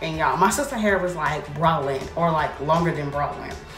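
A woman talks at a moderate pace with a fairly low pitch and ordinary pitch variation. Clear music plays in the background. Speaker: hair vlogger. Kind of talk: casual vlog chat. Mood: amused storytelling, laughing. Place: bathroom. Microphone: phone near.

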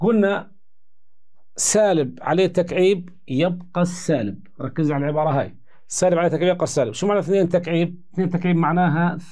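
Over a quiet background, a man speaks at a moderate pace in a high voice with a dark, mellow tone and ordinary pitch variation. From Jordan. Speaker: math teacher. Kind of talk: lecture. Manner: animated. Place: studio.

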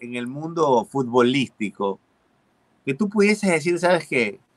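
A man talks at a fairly slow pace. The background is quiet. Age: 40s. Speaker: comedian and show host; comedian, show host. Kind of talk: casual chat. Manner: animated. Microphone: video call.

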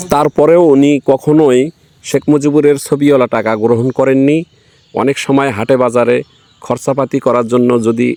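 Using a normal speaking voice, a man at medium pitch keeps a fairly even intonation and very even loudness. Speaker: local video reporter. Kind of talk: field report with interviews.

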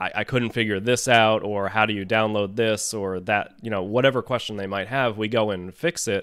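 A man's unremarkable speaking voice, fairly low in pitch, with fairly even intonation over a quiet background. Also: dry sound with no echo. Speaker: web designer, podcast co-host; podcast co-host. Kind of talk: casual interview. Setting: video call. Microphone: studio mic.

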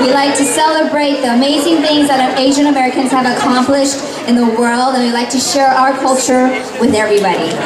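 Over crowd noise in the background, a woman talks at a fairly quick pace. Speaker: event host. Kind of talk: event hosting announcements. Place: shop.

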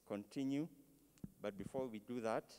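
Ordinary pitch variation in a male voice. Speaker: service host. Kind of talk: announcements at memorial service. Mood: calm, solemn. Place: church. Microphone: handheld.

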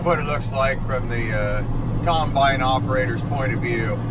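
Loud background noise accompanies speech delivered at a moderate speed. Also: man. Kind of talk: casual vlog chat. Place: car. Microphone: phone near.

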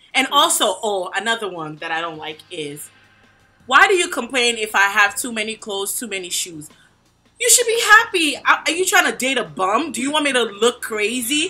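Faint music plays in the background as the loudness rises and falls sharply. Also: woman, moderate pace. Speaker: vlog host. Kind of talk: casual vlog chat. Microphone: phone near.

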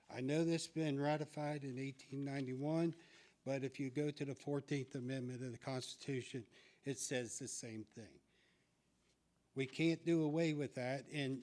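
With a normal speaking voice, a man talks at a moderate pace with a fairly high pitch and fairly even intonation in a very clean recording with a silent background. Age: 60s. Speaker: public commenter at school board meeting. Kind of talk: public comment speech.

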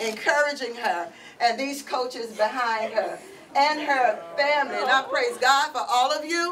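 Over light background noise, a woman with a high pitch speaks at a fairly slow pace with lively intonation. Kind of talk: emotional speech of thanks. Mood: emotional, grateful. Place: classroom. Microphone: camera far.

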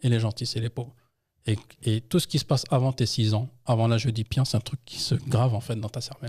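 A somewhat breathy man talks at a fairly quick pace with fairly even intonation over a quiet background. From France, Paris region (Yvelines, 78); Paris region, France. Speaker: textile entrepreneur and anthropologist; podcast guest. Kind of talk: interview storytelling; interview answer. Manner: hesitant, many fillers. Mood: personal, reflective storytelling. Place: studio. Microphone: studio mic.

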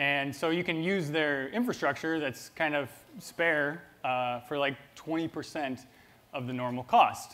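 Fairly even in intonation, a man speaks at a fairly slow pace. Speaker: presenter. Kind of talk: conference talk. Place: stage. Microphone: lapel.

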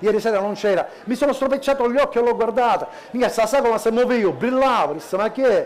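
A man's extremely high voice, very even in loudness, with ordinary pitch variation and a fairly quick pace. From Sicily. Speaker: cabaret comedian. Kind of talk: stand-up. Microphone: headset.

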